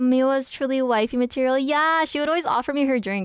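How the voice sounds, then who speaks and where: A woman speaks on a very clean recording with a silent background. The sound is dry and close with no echo. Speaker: streamer. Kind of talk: casual chat. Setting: live stream. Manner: loud; animated.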